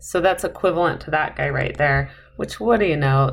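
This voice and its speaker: A woman is speaking. There is audible room echo. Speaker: math instructor. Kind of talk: lecture. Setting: recorded video lecture.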